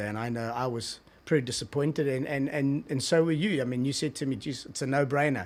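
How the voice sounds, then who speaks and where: In a very clean recording with a silent background, a man speaks with a strong South African accent. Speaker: TV executive. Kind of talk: casual interview. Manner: halting, many repetitions.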